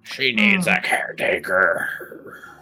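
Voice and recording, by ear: Over faint background music, a man does a put-on character voice that is raspy and growling.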